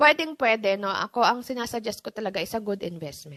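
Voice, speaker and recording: A woman speaks at a moderate pace with a fairly high pitch and lively intonation. The sound is dry and close, with no echo. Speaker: livestream host giving money tips. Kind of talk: casual livestream talk. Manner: calm; chatty, code-switching Taglish.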